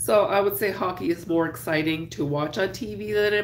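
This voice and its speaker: A woman speaks at a moderate pace in a very deep, low pitch with vocal fry. Her pitch swings very widely. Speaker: crafter and YouTuber. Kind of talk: casual live chat while crocheting. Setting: live stream at home. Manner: casual, chatty, with filler words.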